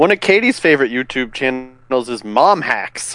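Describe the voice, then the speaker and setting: With lively intonation, a man talks in a normal speaking voice at a medium pitch and a moderate pace. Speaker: podcast co-host. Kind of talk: casual banter.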